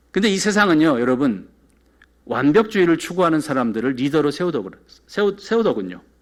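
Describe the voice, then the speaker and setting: Fairly high male voice, fairly quick in pace, with very wide pitch swings. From South Korea, moved to New York at 14. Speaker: pastor. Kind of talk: sermon. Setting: church.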